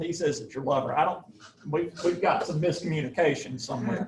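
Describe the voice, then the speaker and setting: A man with a Southern US accent and a fairly high pitch, amid noticeable background noise. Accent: Southern US (Georgia). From US South, Georgia. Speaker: professor. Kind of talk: lecture.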